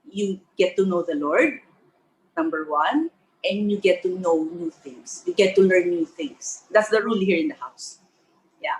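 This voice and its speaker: Her pitch swings very widely as this woman speaks at a fairly slow pace. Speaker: cancer survivor, artist. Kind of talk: testimony. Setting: at home. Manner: slow, careful speech after stroke.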